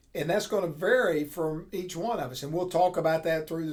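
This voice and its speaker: A man's fairly even intonation amid audible room echo. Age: 60s. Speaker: accounting professor. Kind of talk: lecture. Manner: casual, conversational.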